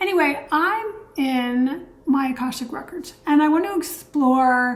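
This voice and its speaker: Over noticeable background noise and audible room echo, a woman with a high pitch talks at a fairly slow pace. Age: 60s. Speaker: energy healer and channel host. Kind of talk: casual vlog monologue.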